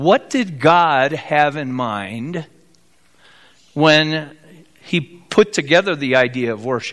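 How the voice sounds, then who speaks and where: A man with a Midwestern American accent speaks very slowly, with long, frequent pauses. His voice is fairly high for a man, and his intonation is lively. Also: big swings in loudness. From US Midwest, South Bend, Indiana. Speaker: pastor. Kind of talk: sermon. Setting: church.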